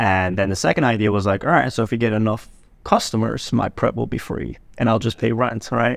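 Vocal fry marks a man's fairly low voice, which shows ordinary pitch variation on a very clean recording over a silent background. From grew up partly in Turkey, moved to New York (Staten Island) at 7. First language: Turkish. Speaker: Amazon wholesale seller. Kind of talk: casual chat.

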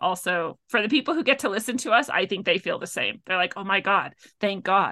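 Against a quiet background, a woman with a West Coast accent talks fairly quickly in a bright, sharp tone with ordinary pitch variation. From US Pacific Northwest. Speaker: spiritual healer and author. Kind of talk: casual interview chat.

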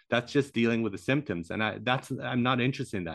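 This is a normal speaking voice. Its pitch variation is ordinary. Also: man. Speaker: podcast host. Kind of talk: casual interview.

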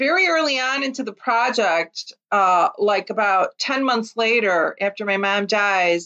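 With a Chicago accent, a woman speaks at a fairly slow pace in a fairly high pitch with ordinary pitch variation. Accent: Chicago American. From US Midwest, Chicago Lithuanian community. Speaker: author and former journalist. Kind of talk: interview.

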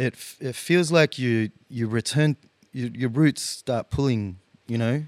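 Here a man with an Australian accent speaks at a fairly slow pace, medium in pitch with ordinary pitch variation. The recording is very clean, with a silent background. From Australia, teen years in Chile. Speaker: guitarist. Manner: hesitant, many fillers.

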